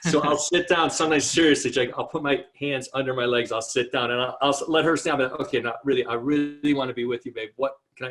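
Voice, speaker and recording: Here a man talks at a very fast pace, hardly pausing at all. His pitch is fairly high. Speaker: marriage and family counselor. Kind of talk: interview. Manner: animated.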